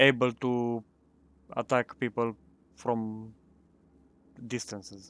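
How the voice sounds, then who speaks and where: A man with a non-native accent speaks at a medium pitch. The sound is dry and close, with no echo. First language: not English. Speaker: gaming youtuber. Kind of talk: gameplay commentary. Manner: halting.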